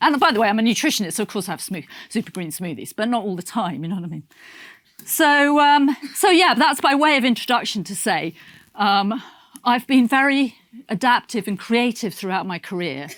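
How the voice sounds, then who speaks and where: A woman with a British accent speaks at a fairly quick pace in an animated tone, her fairly high pitch making very wide swings. The recording is very clean, with a silent background. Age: 60s. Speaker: nutritionist. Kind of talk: motivational talk. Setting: stage with audience. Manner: halting.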